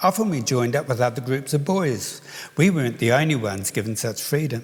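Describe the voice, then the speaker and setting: A man with a New Zealand accent, somewhat breathy, fairly quick, and lively in intonation. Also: medium pitch for a man. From New Zealand, Palmerston North. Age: 70s. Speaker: children's author. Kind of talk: award lecture.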